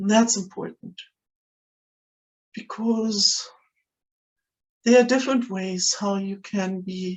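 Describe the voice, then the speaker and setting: Speaking very slowly in a German accent, a woman has a medium pitch and a somewhat breathy sound. Her intonation is monotone and flat. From Germany. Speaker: spiritual video creator. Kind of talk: talking-head monologue. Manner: hesitant, many fillers.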